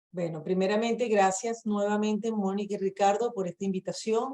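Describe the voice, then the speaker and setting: The speaker has a Venezuelan accent, a dark, mellow tone and fairly even intonation. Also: woman. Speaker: immigration lawyer. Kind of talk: webinar presentation. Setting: video call.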